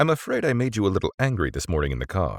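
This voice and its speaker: In a put-on character voice, a man with a fairly low pitch makes very wide pitch swings at a very fast pace, the sound dry and close with no echo. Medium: read story. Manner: smooth, genial.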